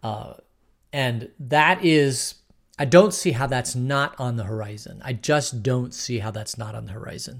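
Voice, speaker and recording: A man's medium-pitched voice at a fairly slow pace, with ordinary pitch variation, big swings in loudness, and a very clean recording with a silent background. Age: 60s. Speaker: pastor. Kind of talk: bible study teaching. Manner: halting.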